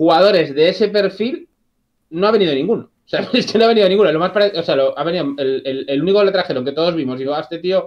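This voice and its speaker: Against a quiet background, a man with a high pitch talks at a very fast pace with ordinary pitch variation. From Galicia, A Coruña. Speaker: channel subscriber and football fan panelist. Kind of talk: casual chat. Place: home room. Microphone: video call.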